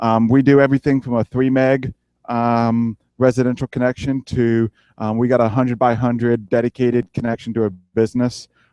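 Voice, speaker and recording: A man's medium-pitched, dark, mellow voice with an American accent, monotone, flat intonation and a fairly quick pace, dry and close with no echo against a quiet background. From US South, South Carolina. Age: 20s. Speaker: ISP technician and tower climber. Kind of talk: conference talk. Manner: halting, many fillers.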